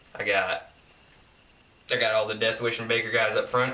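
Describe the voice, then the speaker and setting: A man with an American accent talks at a moderate pace and medium pitch, monotone and flat, with audible room echo and noticeable background noise. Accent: Southern US, redneck-sounding. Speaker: skateboarding vlogger. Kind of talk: casual vlog monologue. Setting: filmed at home by girlfriend.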